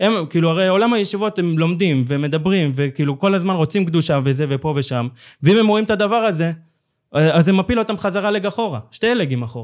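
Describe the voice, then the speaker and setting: At a fairly quick pace, a man with a high pitch talks with lively intonation. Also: very clean recording, silent background. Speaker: co-founder of a social movement. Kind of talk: interview. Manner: halting.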